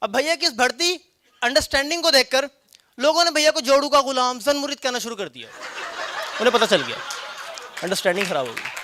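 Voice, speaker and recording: A man talks in a raised, projected voice at an extremely high pitch. His pitch varies in an ordinary way while his loudness swings widely. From Punjab, Pakistan. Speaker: stand-up comedian. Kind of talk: stand-up comedy performance.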